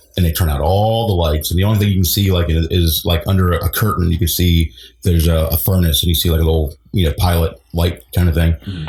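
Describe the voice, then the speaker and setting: Very deep and low, a man's somewhat breathy voice races at a very fast pace with hardly any pauses, very even loudness and fairly even intonation. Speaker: guest sharing ghost stories. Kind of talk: podcast interview answer. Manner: casual, hesitant.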